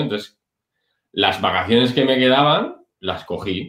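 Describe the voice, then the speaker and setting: A man's medium-pitched voice at a moderate pace. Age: 30s. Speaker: online business entrepreneur, former dental clinic director. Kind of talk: interview.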